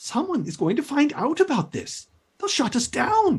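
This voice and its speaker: A man's put-on character voice at an extremely high pitch and moderate pace. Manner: agitated.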